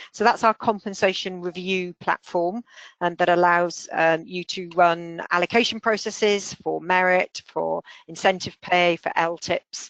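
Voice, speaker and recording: Against a quiet background, a woman speaks at a fairly slow pace in a dry, close sound with no echo. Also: fairly low pitch for a woman, fairly even intonation. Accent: London. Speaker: software company founder and consultant. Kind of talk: webinar product presentation. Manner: hesitant, many filler words.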